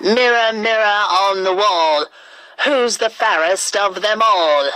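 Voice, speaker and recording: A woman's put-on character voice at medium pitch, fairly slow, with ordinary pitch variation. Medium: read story.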